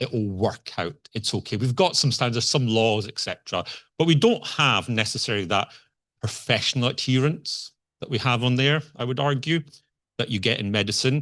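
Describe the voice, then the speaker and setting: With a Scottish accent, a man talks in a lively intonation against a quiet background. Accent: Scottish, noticeable. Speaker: conference speaker, software engineer. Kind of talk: conference talk. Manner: conversational, hesitant with fillers.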